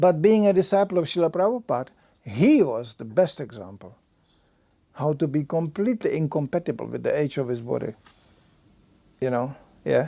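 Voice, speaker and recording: Long, frequent pauses break up this man's speech, which has a dark, mellow tone, a fairly high pitch and very wide pitch swings. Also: moderate pace. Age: 70s. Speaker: Hare Krishna preacher. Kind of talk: lecture. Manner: halting.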